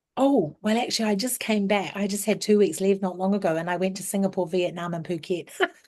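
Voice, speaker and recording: At a very fast pace with hardly any pauses, a woman speaks at a medium pitch in a dark, mellow tone with fairly even intonation. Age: 50s. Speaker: school principal. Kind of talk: Q&A interview at a conference.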